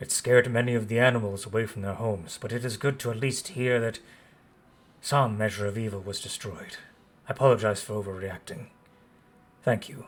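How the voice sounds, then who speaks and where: Putting on a gruff character voice, a man speaks at a medium pitch in a solemn tone, talking fairly quickly between long, frequent pauses. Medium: actual play. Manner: formal, solemn.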